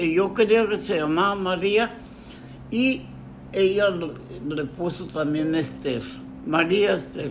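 Amid audible room echo, a man speaks very slowly with lively intonation. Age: 80s+. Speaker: grandfather interviewed about his life. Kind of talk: family oral history interview.

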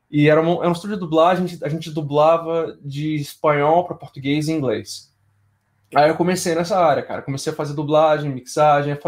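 A very fast-talking man with a fairly high pitch and fairly even intonation, on a very clean recording with a silent background. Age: 30s. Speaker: game audio sound designer. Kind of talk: casual interview chat.

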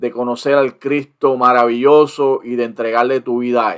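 Pitched at a medium level, the man's voice stays monotone and flat. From Puerto Rico. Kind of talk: interview.

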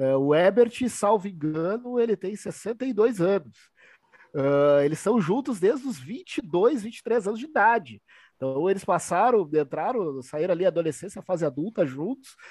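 The man's pitch is high and swings very widely. His pace is fairly slow. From southern Brazil (Rio Grande do Sul). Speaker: sports and rock journalist. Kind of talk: casual chat. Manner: animated.

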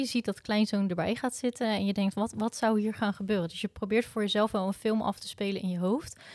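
Fairly high in pitch, a woman talks at a fairly quick pace with fairly even intonation in an unremarkable speaking voice. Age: 30s. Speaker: wedding photographer. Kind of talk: casual interview.

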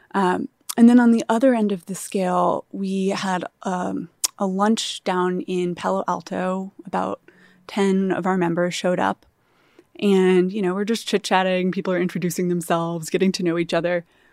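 In a very clean recording with a silent background, a woman with a plain, everyday voice speaks at a medium pitch and a moderate pace, her intonation fairly even. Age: 30s. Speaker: startup founder. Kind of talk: interview.

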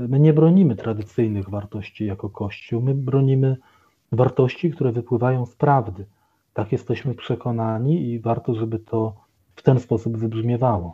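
A man with a plain, everyday voice speaks at a medium pitch and moderate pace, with ordinary pitch variation and big swings in loudness. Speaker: Capuchin friar and doctoral student. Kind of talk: radio interview. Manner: formal.

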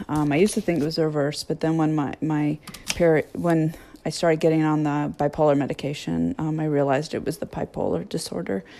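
A woman at a very fast pace, very deep and low in pitch, with fairly even intonation. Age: 50s. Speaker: podcast host sharing life with bipolar disorder. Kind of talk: casual personal monologue. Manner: halting, many fillers.

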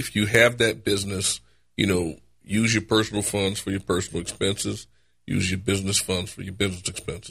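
A man with a New Orleans accent speaks fairly quickly in a fairly low pitch, his intonation flat and monotone. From New Orleans, Louisiana. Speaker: personal injury lawyer. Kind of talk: casual chat.

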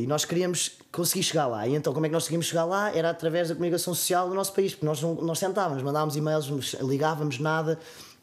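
A man with a European Portuguese accent, a fairly high pitch, fairly even intonation and a very fast pace, over noticeable background noise. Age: 20s. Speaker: clothing brand owner. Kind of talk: personal testimony in casual interview. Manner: halting, many fillers.

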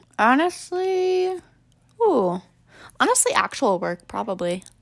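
A woman speaks with long, frequent pauses. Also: very clean recording, silent background. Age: 20s. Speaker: podcast guest. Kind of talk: casual chat.

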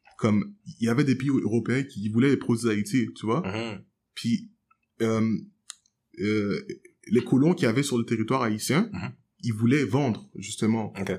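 This man speaks at a medium pitch with ordinary pitch variation, leaving long, frequent pauses. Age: 20s. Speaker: jazz piano student and musician. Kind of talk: casual debate.

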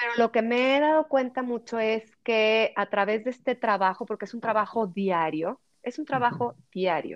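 With music in the background, a woman with a fairly high pitch speaks with hardly any pauses, ordinary pitch variation, and big swings in loudness. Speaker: podcaster and personal development content creator. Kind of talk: interview. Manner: slow, measured.

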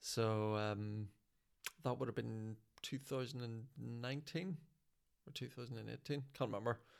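Speaking with a Northern Irish accent, a man at medium pitch and ordinary pitch variation goes at a fairly slow pace with long, frequent pauses. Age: 40s. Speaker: stand-up comedian. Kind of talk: casual chat.

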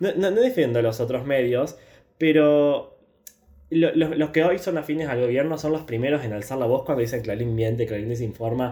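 A man's medium-pitched, a plain, everyday voice at a moderate pace with ordinary pitch variation. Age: 20s. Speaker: podcast host, university student. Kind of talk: casual chat.

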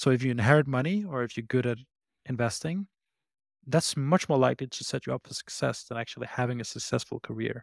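A man with a Danish accent at a very fast pace, medium pitch and ordinary pitch variation, dry and close with no echo, in a very clean recording with a silent background. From Denmark. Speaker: startup CEO and founder. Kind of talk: casual interview chat.

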